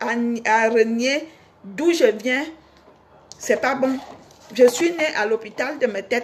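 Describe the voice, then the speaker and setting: A woman with a Cameroonian accent speaks very slowly in a high voice, with lively intonation. She leaves long, frequent pauses over noticeable background noise. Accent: Cameroonian village accent, kept. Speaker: singer and online personality. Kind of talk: casual monologue to fans.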